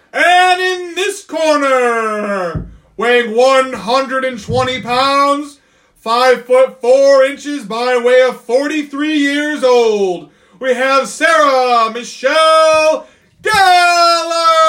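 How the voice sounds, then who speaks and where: A man uses a put-on character voice at an extremely high pitch. His voice is raised and projected, and his pace is very slow. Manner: dramatic, hyped.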